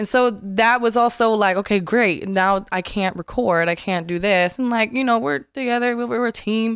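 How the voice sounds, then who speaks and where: A woman's fairly high voice at a moderate pace, with ordinary pitch variation and hardly any pauses, on a very clean recording with a silent background. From Las Vegas, US. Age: 20s. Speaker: TikTok creator. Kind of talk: casual interview chat. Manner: goofy, humorous.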